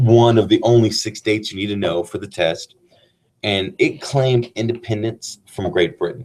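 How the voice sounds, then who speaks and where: Somewhat breathy, a man speaks at a medium pitch. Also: moderate pace. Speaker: teacher. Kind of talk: casual chat; lecture. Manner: monotone.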